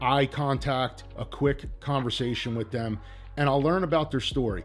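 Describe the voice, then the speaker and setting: A man talks at a moderate pace with ordinary pitch variation while faint music plays in the background. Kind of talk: tutorial. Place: home room.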